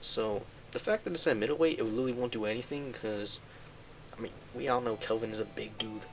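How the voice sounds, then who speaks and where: A man speaks quietly at a medium pitch. His pitch moves in an ordinary way, and he talks very fast. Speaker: MMA picks YouTuber. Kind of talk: casual solo commentary. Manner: casual, filler-heavy.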